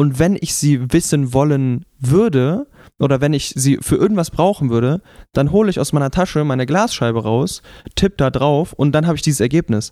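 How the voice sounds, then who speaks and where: This man's voice is fairly high with a dark, mellow tone and lively intonation at a moderate pace. The recording is very clean, with a silent background. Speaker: podcast host. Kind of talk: casual chat. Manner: raises voice into a show voice at the start.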